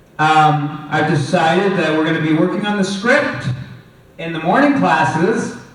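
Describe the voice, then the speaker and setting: A man speaks at a fairly high pitch with ordinary pitch variation. Noticeable background noise and audible room echo fill the recording. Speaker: film lecturer. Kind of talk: lecture. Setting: classroom with microphone. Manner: hesitant, many fillers.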